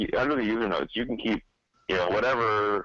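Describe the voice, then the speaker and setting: A man speaks at a very fast pace with a fairly low pitch. His tone is bright and sharp, in a dry, close sound with no echo. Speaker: podcast guest, geocaching software user. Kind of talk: casual chat. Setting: video call.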